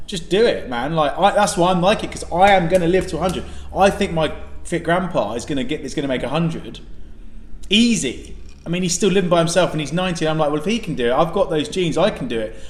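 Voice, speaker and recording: Loud and animated, the speaker talks at a very fast pace with ordinary pitch variation and audible room echo. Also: man, high pitch for a man. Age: young. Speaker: podcast co-host. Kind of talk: casual chat. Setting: restaurant.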